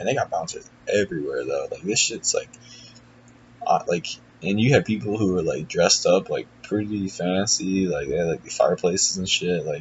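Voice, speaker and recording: A man speaks at a moderate pace while noticeable background noise fills in behind him. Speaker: athlete vlogger. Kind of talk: casual vlog. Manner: filler-heavy, casual.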